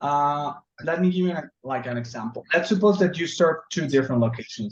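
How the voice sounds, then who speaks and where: A man's somewhat breathy voice at a moderate pace, with lively intonation. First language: Spanish. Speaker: software trainer. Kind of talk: tutorial. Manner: halting.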